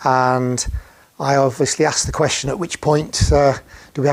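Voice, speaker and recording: Speaking at a moderate pace, a man has a fairly high pitch and a Yorkshire accent. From northern England, Sheffield. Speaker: heart surgery patient. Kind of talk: personal testimony. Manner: halting, many fillers.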